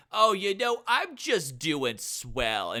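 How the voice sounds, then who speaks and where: A raised, projected voice in a put-on character. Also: man, high pitch for a man. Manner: cheerful, breezy.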